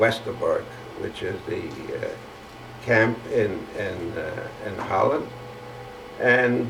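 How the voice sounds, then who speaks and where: A man speaks with a German accent. Noticeable background noise is present. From Germany. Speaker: Holocaust survivor. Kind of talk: oral history testimony. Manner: hesitant, halting.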